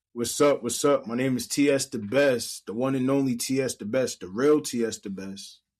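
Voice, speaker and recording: A man with a plain, everyday voice of medium pitch and an American accent speaks at a moderate pace with fairly even intonation and hardly any pauses, on a very clean recording with a silent background. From New Jersey, Monmouth County. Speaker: rapper. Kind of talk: casual chat.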